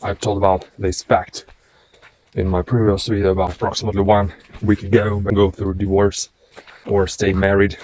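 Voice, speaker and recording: Speaking at a moderate pace with a non-native accent, a man uses a fairly low pitch and a monotone, flat intonation, with long, frequent pauses. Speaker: vlogger. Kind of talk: casual vlog monologue. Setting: outdoors, walking in a forest. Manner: halting.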